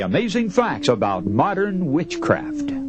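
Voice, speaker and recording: The man's pitch swings very widely as he talks at a moderate pace over noticeable background noise. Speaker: radio preacher / sermon speaker. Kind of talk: radio sermon.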